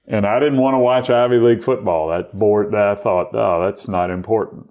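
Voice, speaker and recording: A man with an American accent talks at a fairly quick pace, his fairly low pitch showing ordinary variation. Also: very even loudness. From US South, Mobile, Alabama. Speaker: sportswriter. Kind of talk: interview conversation. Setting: at the guest's home.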